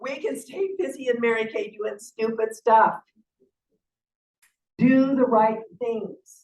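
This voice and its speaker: A woman's fairly high pitch at a very slow pace, broken by long, frequent pauses. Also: ordinary pitch variation. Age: 60s. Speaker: sales director. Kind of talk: motivational talk. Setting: stage with audience. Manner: animated.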